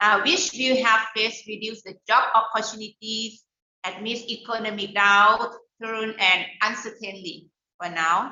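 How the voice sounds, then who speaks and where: A woman speaks with a Thai accent. Her pitch is fairly high and her intonation fairly even. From Thailand. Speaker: education center leader for small business entrepreneurs. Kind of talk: webinar talk. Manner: halting, many fillers.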